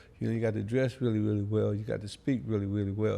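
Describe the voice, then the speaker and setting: A man speaks very fast in a dark, mellow tone. His pitch is fairly low, and his intonation is fairly even. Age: 60s. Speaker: retired pimp. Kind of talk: interview.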